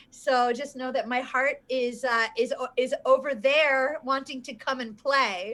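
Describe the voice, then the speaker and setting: An animated woman with a New York accent, high-pitched and bright, sharp in tone, fairly slow yet with hardly any pauses. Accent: New York American. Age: 40s. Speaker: performance coach and author. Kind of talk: casual interview chat. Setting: livestream video call. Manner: animated, effusive.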